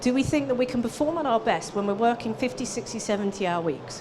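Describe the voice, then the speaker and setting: A woman with a fairly high pitch speaks at a fairly quick pace amid noticeable background noise and audible room echo. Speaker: business coach for accountants. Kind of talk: conference presentation. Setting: stage with audience. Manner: animated.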